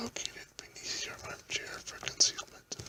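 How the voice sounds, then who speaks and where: A man's whisper at a fairly slow pace over noticeable background noise. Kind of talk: fiction reading aloud, science fiction chapter. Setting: home, at a microphone in his house. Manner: whispered, soft-spoken.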